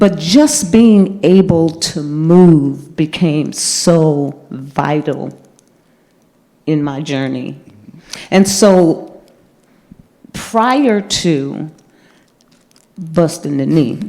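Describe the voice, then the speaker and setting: A woman's fairly low voice at a very slow pace, with long, frequent pauses. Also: ordinary pitch variation. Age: 70s. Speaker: vegan chef and health advocate. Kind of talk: casual chat. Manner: animated.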